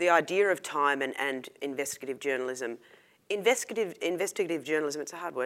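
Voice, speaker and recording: In a very clean recording with a silent background, a woman with an Australian accent talks at a very fast pace, her very deep, low pitch carrying lively intonation. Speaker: investigative reporter. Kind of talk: panel discussion.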